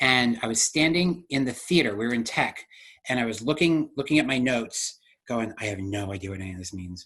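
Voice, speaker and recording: Speaking fairly quickly, a man with an American accent has a medium pitch and an animated tone with lively intonation and big swings in loudness. The recording is very clean, with a silent background. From Delaware, US. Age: 40s. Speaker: dancer, actor and director. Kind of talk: interview.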